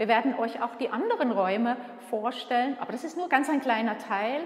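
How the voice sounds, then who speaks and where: With audible room echo, a woman speaks at a high pitch and a moderate pace, using ordinary pitch variation. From Switzerland. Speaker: museum curator and director. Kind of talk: guided museum tour. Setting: museum exhibition room. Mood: warm, friendly. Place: hall. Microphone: camera far.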